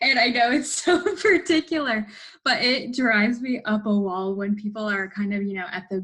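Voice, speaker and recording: An unremarkable speaking voice from a woman, fairly high in pitch, at a fairly slow pace. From United States, born in India. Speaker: personal trainer and fitness coach. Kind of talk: casual Q&A interview.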